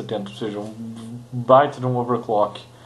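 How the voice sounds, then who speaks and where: There is noticeable background noise and audible room echo. A man speaks at a medium pitch with fairly even intonation. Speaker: tech YouTuber. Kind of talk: casual tech review monologue. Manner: halting, many fillers.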